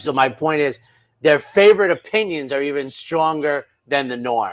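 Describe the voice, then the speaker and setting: An animated man speaks at a moderate pace, his fairly high voice making very wide pitch swings. The recording is very clean, with a silent background. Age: 60s. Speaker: horse racing handicapper. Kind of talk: casual chat.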